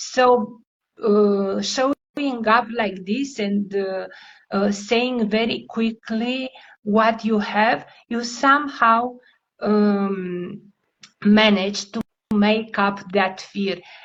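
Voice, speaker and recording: Using a non-native accent, a woman speaks very slowly at a fairly high pitch, with fairly even intonation. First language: not English. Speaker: language coach. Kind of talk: interview.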